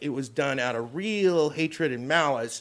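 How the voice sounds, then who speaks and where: Speaking fairly slowly, a man with an unremarkable speaking voice has a fairly high pitch and ordinary pitch variation. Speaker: comedian guest. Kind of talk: casual chat. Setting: green room before a show.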